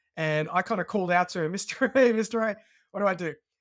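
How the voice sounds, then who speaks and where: A man with an Australian accent talks at a very fast pace with ordinary pitch variation. The recording is very clean, with a silent background. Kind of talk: podcast interview, personal story.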